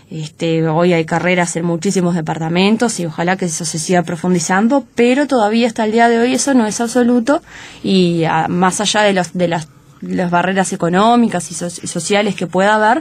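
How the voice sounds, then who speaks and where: A woman with an interior Uruguayan accent talks at a fairly quick pace, her medium pitch showing ordinary variation. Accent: Uruguayan interior accent, drops s sounds. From Uruguay, interior (Paysandú). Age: 20s. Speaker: lawyer and campaign spokesperson. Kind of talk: radio interview. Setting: radio studio. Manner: frequent fillers and repetitions.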